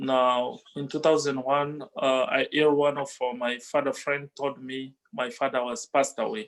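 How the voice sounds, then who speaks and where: A man with an African accent, a fairly high pitch, fairly even intonation, and a fairly slow pace. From DR Congo. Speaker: musician. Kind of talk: interview testimony. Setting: video call. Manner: halting, many fillers.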